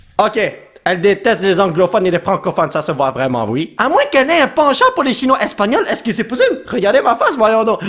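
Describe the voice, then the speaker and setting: Amid noticeable background noise, a man with a Quebec accent speaks at a fairly quick pace in a high pitch. His tone is animated, and his pitch swings very widely. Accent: Québécois. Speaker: YouTube gamer. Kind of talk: gameplay commentary.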